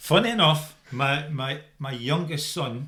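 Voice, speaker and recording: In a Dundee accent, the speaker has a bright, sharp tone and ordinary pitch variation. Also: man. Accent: Dundee Scots. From Scotland, Dundee. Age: 60s. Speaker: firefighter. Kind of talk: casual chat.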